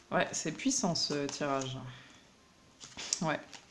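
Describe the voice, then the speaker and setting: Very slow speech from a woman amid audible room echo. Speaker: tarot card reader. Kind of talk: tarot reading. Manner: hesitant, many fillers.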